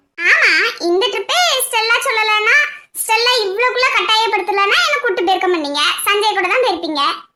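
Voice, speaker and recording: Using a cartoonish character voice, a woman speaks at an extremely high pitch. Her loudness stays very even. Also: moderate pace. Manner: teasing, lively.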